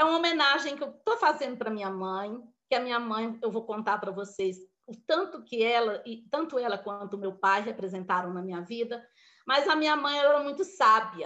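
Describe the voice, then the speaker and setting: A bright, sharp tone at a moderate pace, with lively intonation and big swings in loudness. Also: woman, fairly high pitch for a woman. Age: 60s. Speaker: motivational speaker. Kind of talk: motivational talk. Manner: informal, conversational.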